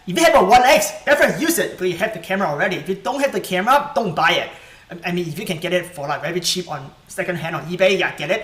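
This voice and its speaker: A high-pitched man's voice, very fast and lively in intonation, amid noticeable background noise. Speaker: tech youtuber. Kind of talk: live stream tutorial. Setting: live stream at home.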